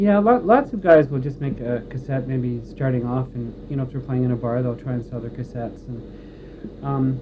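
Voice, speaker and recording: In a plain, everyday voice, a man talks at a moderate pace with medium pitch and ordinary pitch variation. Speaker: recording engineer. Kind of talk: interview answer.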